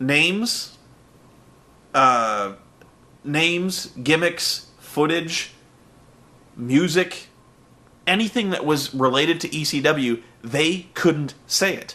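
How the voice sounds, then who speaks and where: A man's fairly high, bright and sharp voice at a very slow pace. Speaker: wrestling commentator, internet reviewer. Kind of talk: casual commentary podcast. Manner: conversational, some filler words.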